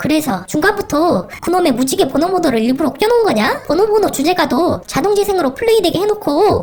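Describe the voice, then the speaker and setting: An extremely high, female-sounding cartoonish character voice at a very fast pace. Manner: annoyed, demanding.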